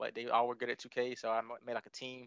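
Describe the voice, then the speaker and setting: A man with a Southern US accent speaks in a monotone, flat intonation. The sound is dry and close, with no echo. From Alabama, Tuscaloosa. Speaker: brand manager and former esports player. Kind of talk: interview.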